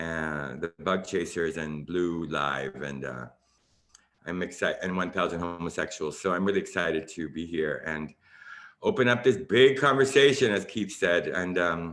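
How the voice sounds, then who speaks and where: Using vocal fry and lively intonation, a man with an American accent speaks at a very deep, low pitch. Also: moderate pace. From Miami, Florida, US. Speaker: dance artist, choreographer. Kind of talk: panel discussion introduction.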